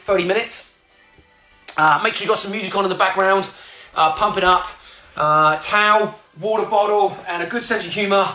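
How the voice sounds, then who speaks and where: Over faint background music and audible room echo, a man speaks very fast in a raised, projected voice with fairly even intonation. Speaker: fitness instructor. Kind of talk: live workout instruction. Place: home room. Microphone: phone near.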